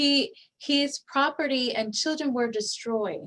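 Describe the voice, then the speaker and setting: A woman with a Spanish accent and lively intonation. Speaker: guest speaker on faith and resilience. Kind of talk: online presentation. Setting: online session with chat. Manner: halting, many fillers and repeats.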